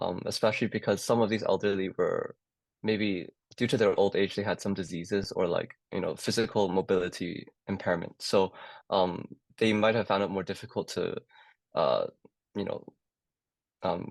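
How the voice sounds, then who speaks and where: A man talks at a moderate pace, with long, frequent pauses. The sound is dry and close, with no echo. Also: quiet background. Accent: Cantonese. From Hong Kong. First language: Cantonese. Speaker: medical student. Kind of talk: casual chat. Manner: hesitant, many fillers.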